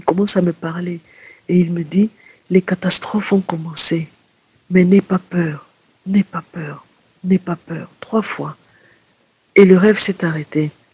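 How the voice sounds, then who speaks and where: Very slowly, with long, frequent pauses, a woman speaks in a monotone, flat intonation while her loudness swings widely. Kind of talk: testimony. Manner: halting.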